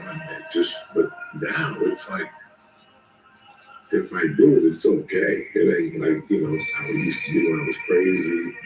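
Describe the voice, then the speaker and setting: Music plays in the background. The speech moves at a moderate pace with big swings in loudness. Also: man. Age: 60s. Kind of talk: casual chat.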